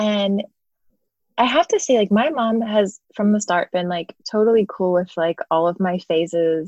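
A woman with an unremarkable speaking voice and an American accent talks at a fairly slow pace and a fairly high pitch, the sound dry and close with no echo. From Philadelphia area, US. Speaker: music photographer. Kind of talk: casual chat.

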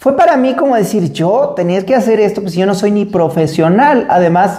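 With a Mexican accent and lively intonation, a man speaks amid audible room echo. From Mexico. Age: 40s. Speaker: podcast host and marathon runner. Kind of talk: solo podcast monologue.

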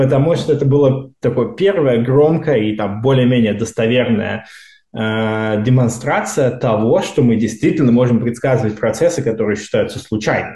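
Somewhat breathy male speech in a dark, mellow tone, with ordinary pitch variation and audible room echo. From Russia, Moscow region. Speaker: seismology researcher. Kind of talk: casual interview.

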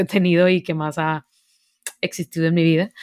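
In a northern Mexican accent, a woman with a fairly low pitch speaks fairly quickly, recorded very cleanly with a silent background and a dry, close sound with no echo. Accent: northern Mexican (Monterrey). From Monterrey, northern Mexico. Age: 20s. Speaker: university student and service project founder. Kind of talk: casual interview. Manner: animated.

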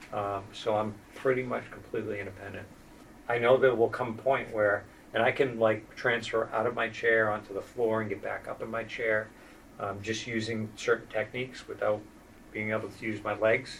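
A man at a medium pitch and a moderate pace, in a monotone, flat intonation. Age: 50s. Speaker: spinal cord injury program manager and wheelchair user. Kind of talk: interview conversation.

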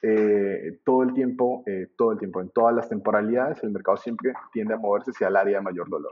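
At a fairly quick pace, the speaker talks with a Colombian accent and ordinary pitch variation. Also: man, medium pitch for a man. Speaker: trading teacher. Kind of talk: interview. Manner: halting.

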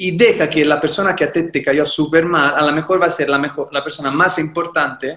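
A man talks with a fairly high pitch. His tone is bright and sharp. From Italy, Livorno (Tuscany). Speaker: painter and actor. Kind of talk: casual interview.

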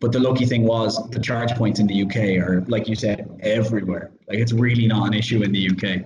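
In an Irish accent, a man with a fairly low voice speaks fairly quickly in a flat monotone, at very even loudness and with hardly any pauses, over noticeable background noise. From Ireland. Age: 30s. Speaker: podcast host. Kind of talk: casual chat.

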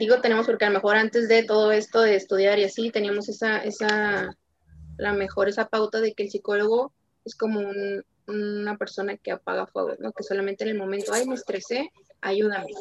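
With an ordinary speaking voice, a woman talks at a moderate pace, her fairly high pitch held to a fairly even intonation. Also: dry, close sound with no echo. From Tijuana, Baja California, Mexico. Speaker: sports psychologist. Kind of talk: interview.

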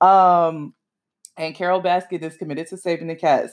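Woman's fairly low-pitched voice on a very clean recording with a silent background. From Miami, Florida. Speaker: podcast host. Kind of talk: casual solo commentary. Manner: animated.

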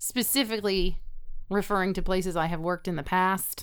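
A woman talks at a medium pitch and moderate pace in an unremarkable speaking voice, captured in a very clean recording with a silent background. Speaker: dietitian; guest. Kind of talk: casual chat.

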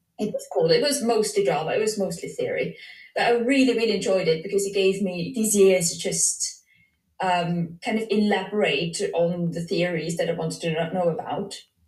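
Heard with audible room echo, a woman speaks in a medium pitch at a moderate pace with ordinary pitch variation. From Switzerland. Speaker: dance psychology PhD researcher. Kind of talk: casual interview. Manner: hesitant, with many fillers.

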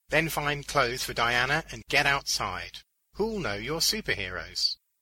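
Putting on a character voice, a man of medium pitch talks at a fairly slow pace with a bright, sharp tone and lively intonation.

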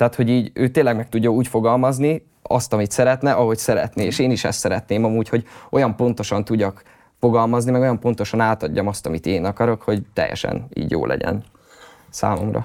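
With ordinary pitch variation and a medium pitch, a man rattles along at a very fast pace. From Hungary, Hódmezővásárhely. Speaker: rapper and music producer. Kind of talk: interview.

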